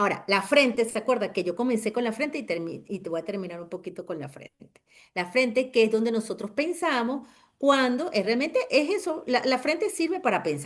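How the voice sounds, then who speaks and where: Her voice is fairly high and swings very widely in pitch. The woman's pace is fairly quick. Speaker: trauma therapist. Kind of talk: webinar lecture.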